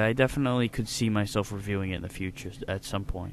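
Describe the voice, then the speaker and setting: The delivery moves at a fairly quick pace. It carries a northeastern US accent. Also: man. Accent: American northeastern. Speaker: video game reviewer. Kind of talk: casual Q&A talk to camera.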